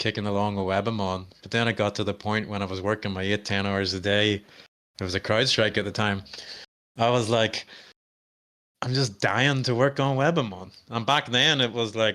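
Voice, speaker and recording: In a strong Irish accent, the speaker uses a bright, sharp tone with fairly even intonation at a moderate pace. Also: man, fairly low pitch for a man. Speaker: cybersecurity founder and presenter. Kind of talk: webinar demo and Q&A. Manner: casual, conversational.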